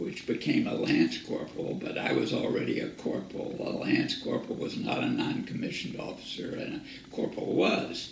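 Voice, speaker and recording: A man talks in an American accent at a moderate pace with hardly any pauses. Audible room echo and noticeable background noise surround him. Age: 70s. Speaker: war veteran. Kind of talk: oral history interview.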